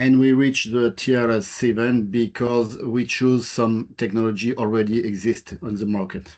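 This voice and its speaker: Hardly pausing, a man with a French accent speaks at a moderate pace. His pitch is medium and his intonation fairly even. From France. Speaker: engineer presenting a project. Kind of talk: webinar presentation. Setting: online webinar. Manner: halting, many fillers.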